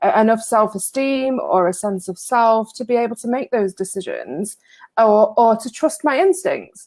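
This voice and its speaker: A woman with an English accent speaks at a moderate pace, her fairly high voice carried by lively intonation. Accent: English accent despite being American. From northwest England. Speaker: recovery writer. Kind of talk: interview on a live stream. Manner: hesitant, many fillers and repeats.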